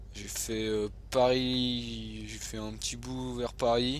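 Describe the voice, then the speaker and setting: A man is talking, with audible room echo around his voice. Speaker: gaming youtuber. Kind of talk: gameplay commentary. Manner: hesitant, many fillers.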